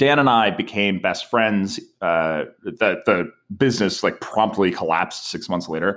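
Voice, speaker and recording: A man talks at a fairly slow pace with a fairly low pitch and ordinary pitch variation. The recording is very clean, with a silent background. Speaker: startup co-founder and sales executive. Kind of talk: casual interview. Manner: clear diction.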